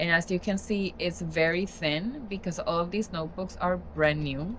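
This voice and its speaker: A woman speaks with a Spanish accent. Her pitch variation is ordinary. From Spanish-speaking country. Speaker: journaling and book content creator. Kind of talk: casual vlog tutorial. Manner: casual, conversational with fillers.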